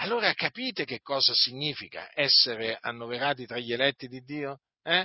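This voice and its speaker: Using a normal speaking voice, a man talks at a moderate pace and medium pitch, with ordinary pitch variation and big swings in loudness. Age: 50s. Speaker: preacher. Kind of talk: sermon.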